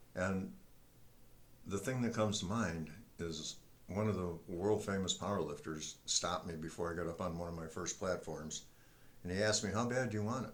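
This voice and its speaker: A man with a very deep, low voice talks at a moderate pace with ordinary pitch variation and long, frequent pauses. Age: 70s. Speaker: retired military veteran and senior powerlifter. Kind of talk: casual talk to camera.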